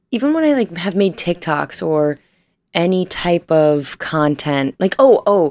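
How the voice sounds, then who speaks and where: A woman with a Midwestern accent speaks at a fairly slow pace. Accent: US Midwest (Ohio). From northern Ohio, US. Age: 20s. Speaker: podcast host. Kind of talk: casual solo chat. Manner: animated.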